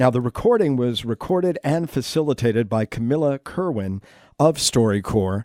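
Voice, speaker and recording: Lively intonation from a man with an American accent and a dark, mellow tone, in a dry, close, very clean recording with no echo and a silent background. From Connecticut, Waterbury. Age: 60s. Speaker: podcast host, former TV programming head. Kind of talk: interview conversation.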